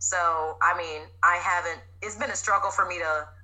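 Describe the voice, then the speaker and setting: A woman is speaking. She has an American accent. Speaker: fitness trainer. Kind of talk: casual interview.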